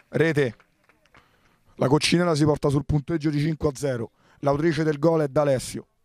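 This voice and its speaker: A man with a fairly high voice speaks in an animated way, leaving long, frequent pauses, on a very clean recording with a silent background and a dry, close sound free of echo. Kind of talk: live sports commentary on a futsal match. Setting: at the venue, commentating during the match. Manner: fast, rapid-fire, excitable, reeling off player names and actions; animated, rising to exclamations on goals.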